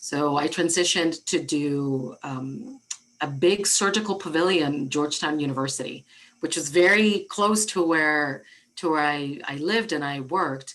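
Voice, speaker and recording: Speaking with a Spanish accent, a woman with a very deep, low voice keeps a moderate pace and ordinary pitch variation. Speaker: architect and diversity director. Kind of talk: interview. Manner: halting, frequent repetitions.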